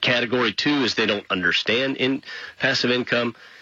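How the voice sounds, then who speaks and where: A man talks over noticeable background noise. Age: 40s. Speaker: radio host. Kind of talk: radio talk show monologue.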